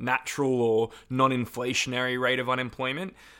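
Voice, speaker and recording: A man with an Australian accent talks at a moderate pace and a medium pitch. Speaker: podcast host and campaigner. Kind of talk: interview.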